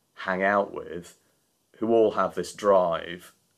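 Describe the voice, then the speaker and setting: A man in a Yorkshire accent on a very clean recording with a silent background. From Yorkshire, northern England. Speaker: charity founder and CEO. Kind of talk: casual interview.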